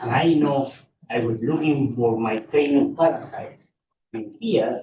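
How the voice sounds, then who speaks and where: In a Spanish accent, the voice moves at a fairly slow pace with ordinary pitch variation. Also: man, fairly high pitch for a man. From Peru. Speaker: pediatrician. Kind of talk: audience comment.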